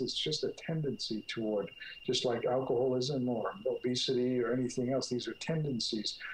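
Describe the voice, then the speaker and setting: A man with an American accent talks at a moderate pace and medium pitch. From US Northeast, North Jersey. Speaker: clinical psychologist, author. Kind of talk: interview. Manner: halting.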